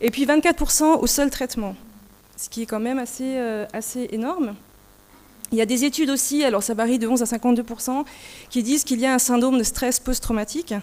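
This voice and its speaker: A high-pitched woman at a fairly quick pace, fairly even intonation, long and frequent pauses. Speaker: nurse researcher. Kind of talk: conference presentation.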